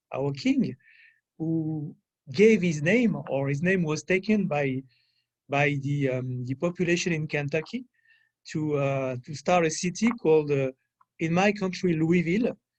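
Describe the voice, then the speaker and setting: A man with a French accent talks at a fairly slow pace with long, frequent pauses. His pitch is fairly high, with ordinary variation. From France, rural area. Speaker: French consular official. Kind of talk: guest talk at a public affairs event. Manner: halting, many fillers.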